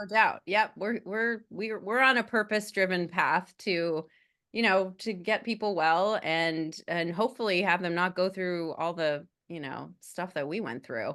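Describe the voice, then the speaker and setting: With an American accent and a normal speaking voice, a woman talks fairly slowly at a medium pitch, with ordinary pitch variation and hardly any pauses. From United States. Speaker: podcast co-host. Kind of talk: casual chat.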